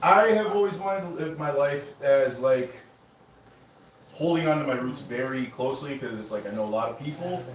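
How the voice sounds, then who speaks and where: Noticeable background noise and audible room echo accompany a man with an American accent and a fairly high pitch who talks at a moderate pace with lively intonation. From United States, Indian-American family. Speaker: spoken word poet. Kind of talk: casual talk introducing a poem at an open mic. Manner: casual, many fillers.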